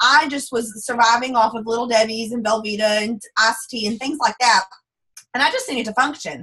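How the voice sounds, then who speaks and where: A woman's voice with a strong Texas accent and fairly even intonation. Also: fairly high pitch for a woman. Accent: thick Texas drawl. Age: 20s. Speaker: network marketing distributor. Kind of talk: testimony on a group call. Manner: fast.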